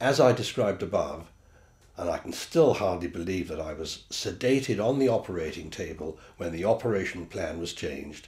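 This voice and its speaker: Speaking with a British accent, a man uses a very deep, low pitch that is somewhat breathy, with lively intonation at a moderate pace. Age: 70s. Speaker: patient giving a testimonial. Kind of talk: testimony. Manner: formal.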